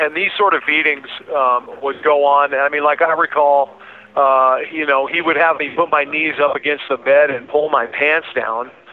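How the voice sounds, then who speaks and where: A speaker holds a moderate pace in a monotone, flat intonation over noticeable background noise. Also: man, fairly high pitch for a man. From Alaska. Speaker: convicted vigilante, abuse survivor. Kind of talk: interview testimony.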